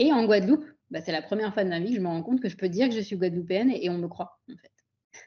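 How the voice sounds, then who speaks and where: The speech runs at a very fast pace with lively intonation and big swings in loudness. The voice is somewhat breathy. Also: woman, medium pitch for a woman. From France and Pondicherry, India. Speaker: physician and integrative health coach. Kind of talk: interview.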